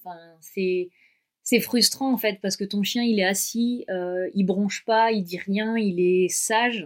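A normal speaking voice from a woman, pitched in the medium range with ordinary pitch variation. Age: 30s. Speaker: dog travel adventurer. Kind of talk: interview, personal travel story.

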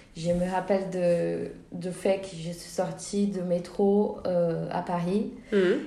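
A woman with a Portuguese accent talks at a very slow pace, her pitch fairly low and her intonation fairly even. Noticeable background noise runs under her voice. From Brazil. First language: Portuguese (speaking French). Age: 20s. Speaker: film director and student. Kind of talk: interview. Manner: hesitant, many fillers.

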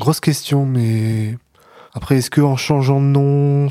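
A man's very slow, fairly even-toned delivery with a dark, mellow tone, on a very clean recording with a silent background. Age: 30s. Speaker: person living with schizophrenia. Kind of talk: casual chat.

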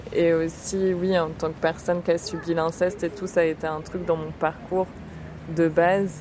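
Noticeable background noise sits behind a woman whose fairly low voice stays monotone and flat. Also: moderate pace. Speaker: friend and supporter. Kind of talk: casual chat.

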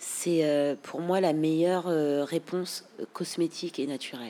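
A woman's fairly low voice, dark and mellow in tone, with ordinary pitch variation. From France. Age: 30s. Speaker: hairstylist. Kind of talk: casual interview. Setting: studio. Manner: animated.

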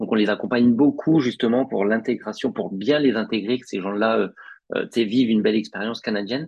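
In a plain, everyday voice, a man at medium pitch talks at a fairly quick pace with fairly even intonation and big swings in loudness. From northern France, Picardy. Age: 30s. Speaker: recruiter. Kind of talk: podcast interview.

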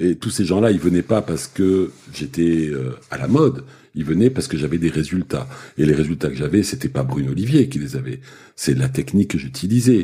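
Speaking at a moderate pace, a man with a very deep, low pitch and a dark, mellow tone makes very wide pitch swings, with vocal fry in his voice. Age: 60s. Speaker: osteopath. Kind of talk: casual chat. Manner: halting.

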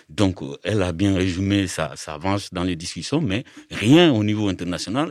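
A man talks at a moderate pace with very wide pitch swings. The recording is very clean and dry, close with no echo, over a silent background. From Mali. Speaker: migrant rights activist. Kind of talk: panel discussion.

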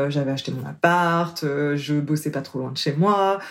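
Behind a woman's speech, background noise is noticeable. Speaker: coach. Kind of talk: interview. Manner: smiling voice.

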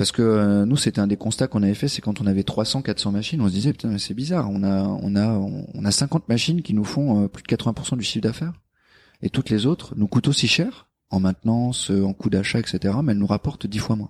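The speech comes at a fairly quick pace with ordinary pitch variation, in a dry, close sound with no echo. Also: man, fairly low pitch for a man. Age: 30s. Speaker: engineer and operations manager. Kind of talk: interview. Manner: hesitant with fillers.

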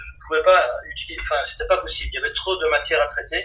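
Very fast speech over noticeable background noise. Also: man. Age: 50s. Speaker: comic book artist and writer. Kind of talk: interview. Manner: halting, repeats words.

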